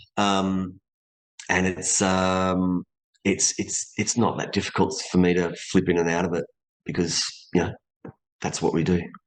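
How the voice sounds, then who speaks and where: The speaker has an Australian accent and a monotone, flat intonation. The pace is fairly slow, with long, frequent pauses. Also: man, very deep, low pitch for a man. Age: 50s. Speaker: voice actor and stunt performer. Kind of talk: interview.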